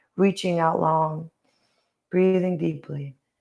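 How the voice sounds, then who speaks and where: On a very clean recording with a silent background, a woman talks in a calm tone at a moderate pace, her intonation monotone and flat. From Ireland. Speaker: yoga instructor. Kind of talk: guided yoga class. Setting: live stream. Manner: calm instructional cues.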